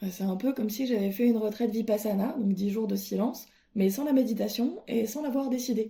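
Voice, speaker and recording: This woman's voice sits fairly high, with a dark, mellow tone, a somewhat breathy quality and ordinary pitch variation. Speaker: podcaster. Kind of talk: casual monologue. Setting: at home alone. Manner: hesitant.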